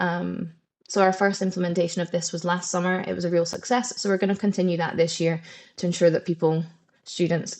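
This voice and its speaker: A woman with a Scottish accent speaks at a fairly quick pace in a fairly low, monotone, flat voice. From Scotland. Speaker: head of programmes at a language school. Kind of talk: webinar presentation. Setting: live webinar. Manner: conversational, with frequent fillers.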